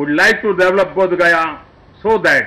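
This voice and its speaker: A man's raised, projected voice with lively intonation. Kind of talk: formal speech. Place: tent. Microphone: podium.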